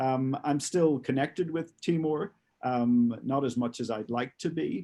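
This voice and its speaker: In a medium-pitched voice with a dark, mellow tone and ordinary pitch variation, a man talks at a fairly slow pace. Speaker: former police advisor and author. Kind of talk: webinar talk.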